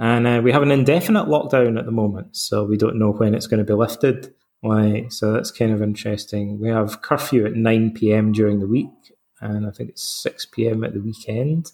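With a Scottish accent, a man talks at a fairly quick pace in a medium pitch, his intonation fairly even. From Scotland. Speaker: psychotherapist and Stoicism author. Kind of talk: interview.

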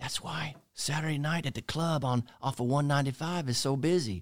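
A man with a plain, everyday voice talks at a moderate pace, his fairly high pitch carried by lively intonation. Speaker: chaplain or marriage counselor. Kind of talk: casual chat with sermon-like teaching.

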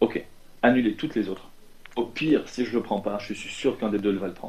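At a moderate pace, a man talks with a medium pitch. His intonation is fairly even. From Lebanon. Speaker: fintech entrepreneur and property investor. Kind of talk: interview. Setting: shared office at an incubator. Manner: halting, many repetitions.

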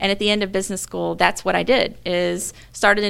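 A woman talking at a very fast pace with an American accent. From US South, Mobile, Alabama. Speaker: engineering director. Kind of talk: interview.

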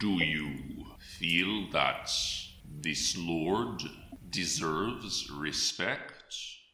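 A man uses a put-on character voice with a very deep, low pitch, speaking at a very slow pace. Long, frequent pauses break up his lines, and background noise is clearly audible. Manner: cold, formal, imperious.

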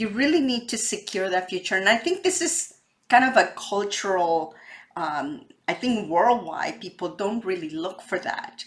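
Talking at a moderate pace, a woman at medium pitch uses very wide pitch swings. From Mexico. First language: Spanish. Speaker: real estate podcast host, wealth advisor. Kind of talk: interview.

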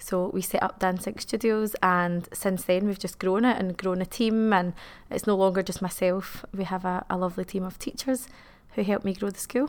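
This speaker has a Glasgow accent and a fairly even intonation at a moderate pace. The recording is very clean, with a silent background. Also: woman, medium pitch for a woman. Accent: Scottish (Glasgow). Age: 30s. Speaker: dance school owner. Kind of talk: interview.

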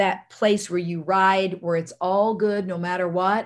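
Her American accent clear, a woman speaks at a fairly slow pace with a medium pitch and ordinary pitch variation. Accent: Southern US, sounds Louisiana. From US South, army brat raised across the US. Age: 60s. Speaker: holistic medicine doctor. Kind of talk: interview. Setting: remote call.

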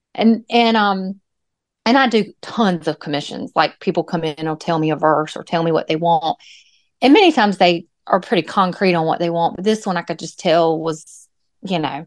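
An ordinary speaking voice from a woman, against a quiet background, dry and close with no echo. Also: fairly low pitch for a woman, ordinary pitch variation, moderate pace. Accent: American. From US South, North Carolina (Moore County). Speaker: artist. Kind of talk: interview.

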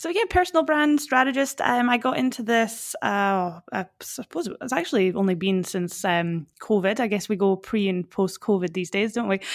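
A woman speaks at a medium pitch and a moderate pace with lively intonation and hardly any pauses. The recording is very clean, with a silent background. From Fort William, Scotland. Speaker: personal brand strategist. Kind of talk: podcast interview, advice.

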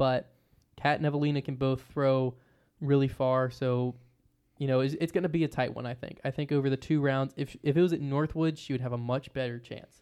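Fairly quick speech with an American accent, a dark, mellow tone and fairly even intonation, over a quiet background. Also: man. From Virginia. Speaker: disc golf podcast co-host. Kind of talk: casual chat. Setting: live stream from hotel room.

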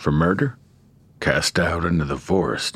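Putting on a character voice, a man talks at a fairly slow pace with a low pitch, a fairly bright tone and a slightly husky edge.

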